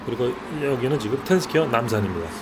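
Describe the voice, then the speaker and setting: A man's intonation rises and falls in a lively way, with noticeable noise behind him. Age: 60s. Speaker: cafe owner and barista. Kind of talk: interview. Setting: in a cafe. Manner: hesitant with frequent fillers.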